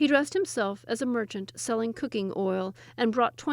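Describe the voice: Someone reads the text out in a plain manner.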